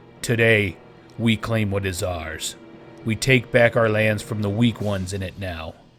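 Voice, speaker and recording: A man in a put-on character voice speaks loud and booming at a fairly low pitch and a moderate pace, with clear music in the background. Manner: commanding, menacing.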